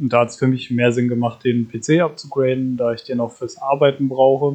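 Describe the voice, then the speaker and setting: This man has an unremarkable speaking voice at medium pitch. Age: 20s. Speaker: podcast co-host, gamer. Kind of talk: casual chat.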